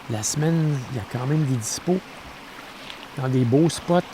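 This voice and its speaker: With a Quebec accent and a relaxed tone, a man speaks at a fairly slow pace with ordinary pitch variation over noticeable background noise. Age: 60s. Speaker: camping vlogger. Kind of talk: casual vlog talk to camera. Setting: outdoors at a campsite. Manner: relaxed, with frequent hesitations.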